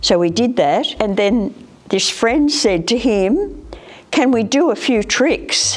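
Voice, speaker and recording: Speaking very slowly with an Australian accent, a woman uses a fairly high pitch, very wide pitch swings and very even loudness over noticeable background noise. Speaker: retired hairdresser. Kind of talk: interview. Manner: casual storytelling.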